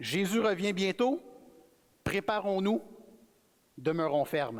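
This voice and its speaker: Speaking very slowly, a man talks with a high pitch. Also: lively intonation. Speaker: guest preacher. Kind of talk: sermon. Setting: church. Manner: casual, conversational.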